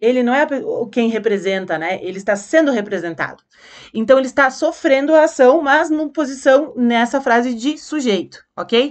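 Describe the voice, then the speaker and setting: The speaker's pitch swings very widely at a moderate pace. The background is quiet. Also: woman. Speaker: teacher. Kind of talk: lecture.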